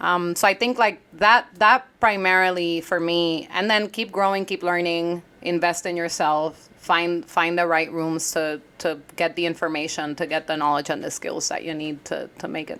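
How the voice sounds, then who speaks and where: A woman with a Puerto Rican accent at a fairly low pitch, moderate pace, ordinary pitch variation, and hardly any pauses. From Puerto Rico. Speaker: entrepreneur, former congressional staffer. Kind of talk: interview conversation. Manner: loud.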